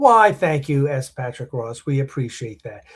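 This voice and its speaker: A man with a fairly high pitch speaks at a moderate pace, somewhat breathy, with lively intonation. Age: 60s. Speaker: podcast host and film producer. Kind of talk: casual chat. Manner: halting, many restarts and fillers.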